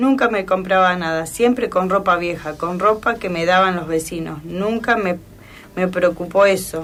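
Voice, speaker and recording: A woman speaks in a Rioplatense accent at a medium pitch. Her pace is fairly slow, with ordinary pitch variation. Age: 80s+. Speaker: elderly woman sharing memories. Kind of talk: personal reminiscence on radio. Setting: radio program.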